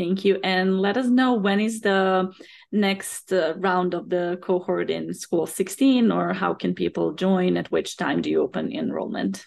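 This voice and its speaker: A fairly slow delivery over a quiet background. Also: woman. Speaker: podcast host and career coach. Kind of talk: interview, host intro and questions.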